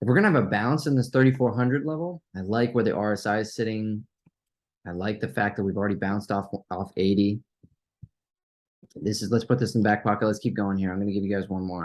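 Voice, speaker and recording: With a fairly low pitch and ordinary pitch variation, a man speaks at a fairly quick pace broken by long, frequent pauses. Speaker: stock trading youtuber. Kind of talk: live trading watchlist commentary. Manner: fast; casual, halting with fillers.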